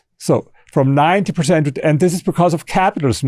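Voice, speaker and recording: A man with a strong German accent speaks at a fairly high pitch with ordinary pitch variation. The recording is very clean, with a silent background. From Germany. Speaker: author and historian. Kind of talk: interview. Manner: halting, with repeated words and false starts.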